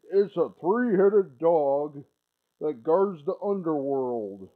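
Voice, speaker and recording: A put-on character voice is used here. Delivery is fairly slow. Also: man, fairly high pitch for a man. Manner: demonic.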